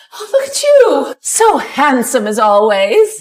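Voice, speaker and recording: Putting on a character voice, a woman speaks high-pitched at a fairly slow pace, her pitch swinging very widely. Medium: short film.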